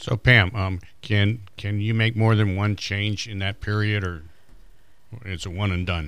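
A man with an ordinary speaking voice talks at a fairly slow pace and a fairly low pitch, his intonation fairly even, on a very clean recording with a silent background. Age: 60s. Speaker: Medicare advisor. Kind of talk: radio panel interview. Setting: radio studio.

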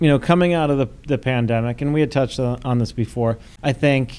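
With an American accent and an unremarkable speaking voice, a man talks at a fairly quick pace in a medium pitch. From US, Buffalo, New York. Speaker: restaurant opening consultant. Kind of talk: casual interview.

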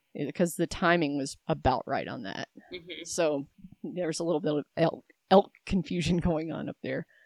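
Recorded with a dry, close sound and no echo, a woman speaks at a moderate pace in a very deep, low pitch with vocal fry and ordinary pitch variation. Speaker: hunter. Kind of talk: casual interview chat. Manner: rambling, wandering.

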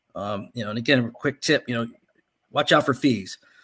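At a fairly quick pace, a man talks in a normal speaking voice, his pitch varying in an ordinary way. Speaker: financial advisor and radio host. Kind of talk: radio talk show, explaining retirement planning. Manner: conversational, explanatory.

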